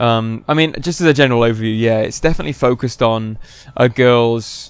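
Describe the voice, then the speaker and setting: Here a man speaks in a British accent. He talks at a fairly quick pace with ordinary pitch variation. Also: medium pitch for a man. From United Kingdom. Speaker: video game reviewer. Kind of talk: casual review discussion.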